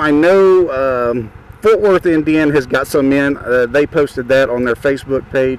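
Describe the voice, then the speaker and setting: Noticeable background noise sits behind this man's fairly high-pitched voice, which rises and falls in an ordinary way. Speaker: motorcycle vlogger. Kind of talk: casual vlog monologue. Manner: fast.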